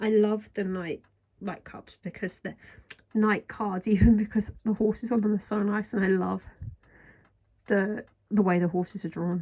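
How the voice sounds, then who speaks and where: A woman speaks at a moderate pace and medium pitch, her tone dark and mellow and somewhat breathy. Her intonation stays monotone and flat, broken by long, frequent pauses. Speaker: tarot reader. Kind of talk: casual deck review talk to camera. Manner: soft ASMR-style talking.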